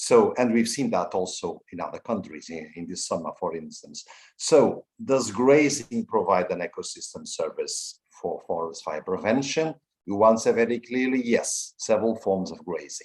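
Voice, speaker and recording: A Portuguese accent at a moderate pace, with big swings in loudness. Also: man. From Portugal. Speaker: EU policy official. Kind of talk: formal address at online symposium. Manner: hesitant, with fillers.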